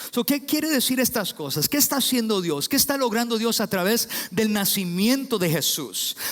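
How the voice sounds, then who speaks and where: Lively intonation at a moderate pace, with very even loudness and noticeable background noise. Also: man, high pitch for a man. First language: English (speaking Spanish). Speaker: pastor. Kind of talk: sermon. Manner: halting with fillers.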